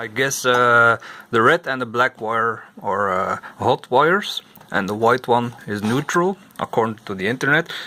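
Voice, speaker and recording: The voice moves at a fairly slow pace with a bright, sharp tone. Its pitch varies an ordinary amount. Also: man. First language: not English. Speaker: vintage computer repair YouTuber. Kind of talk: repair tutorial. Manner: halting, many fillers. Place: workshop. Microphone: phone near.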